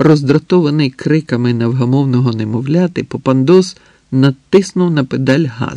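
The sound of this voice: An unforced voice reading aloud, its pitch shifting in an ordinary way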